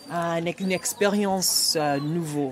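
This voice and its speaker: A woman with a Nigerian accent speaks at a fairly low pitch with ordinary pitch variation. Her pace is very slow, and background noise is noticeable. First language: Igbo (speaking French). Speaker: writer and storyteller. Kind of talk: interview. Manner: halting.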